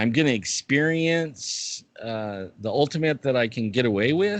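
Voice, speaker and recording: This man's voice is pitched in the middle range and has lively intonation. He talks at a fairly slow pace in an ordinary speaking voice. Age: 60s. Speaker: guest with chronic pain condition, bigfoot YouTuber. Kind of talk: casual interview chat.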